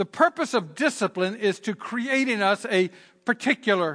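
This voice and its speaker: A man with a Southern Virginia accent, high in pitch and bright and sharp in tone, with lively intonation at a moderate pace over a quiet background. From Southern Virginia, US. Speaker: pastor. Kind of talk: sermon. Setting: church with congregation and online stream.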